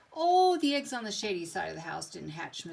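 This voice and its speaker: A woman puts on a character voice, fairly high-pitched with very wide pitch swings, talking at a fairly quick pace. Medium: read story.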